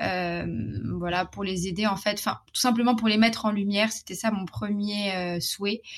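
With a somewhat breathy voice at medium pitch, a woman talks at a fairly slow pace with fairly even intonation. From Morocco. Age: 20s. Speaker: sex education advocate and entrepreneur. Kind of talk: interview conversation. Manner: hesitant, many fillers.

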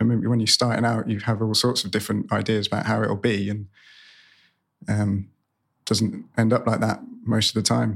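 A man's fairly low voice with vocal fry, monotone, flat intonation, a moderate pace and long, frequent pauses, on a very clean recording with a silent background. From Cornwall, England. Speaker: brewery co-founder. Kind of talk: interview.

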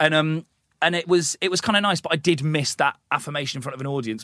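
A fairly high-pitched man with an English accent at a very fast pace, ordinary pitch variation, dry, close sound with no echo, and a very clean recording with a silent background. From England, small town. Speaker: comedian and TV presenter. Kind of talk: casual interview chat. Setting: podcast studio.

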